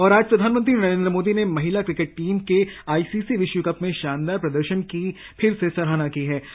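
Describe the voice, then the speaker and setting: The man speaks with a high pitch. His pitch moves in an ordinary way. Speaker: radio jockey, radio show host. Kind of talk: radio sports news show presentation. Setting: radio studio.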